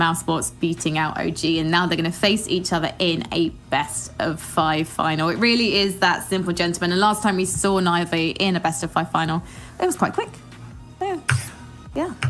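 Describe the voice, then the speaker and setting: A woman speaks with a London accent at a moderate pace. Her pitch is fairly low and her intonation fairly even. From London, England. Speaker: esports presenter. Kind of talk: esports analysis desk chat.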